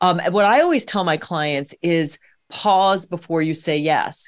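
On a very clean recording with a silent background, a woman with a normal speaking voice talks in a fairly low pitch with lively intonation. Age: middle-aged. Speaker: podcast host and midlife coach. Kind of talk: casual interview chat.

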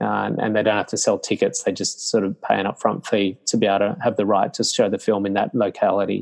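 A man talks at a very fast pace with an Australian accent and hardly any pauses. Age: 50s. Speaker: meditation teacher. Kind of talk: interview conversation.

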